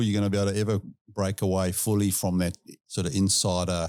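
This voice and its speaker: A man's fairly low voice with a South African accent, on a very clean recording with a silent background. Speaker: industry expert guest. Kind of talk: casual chat.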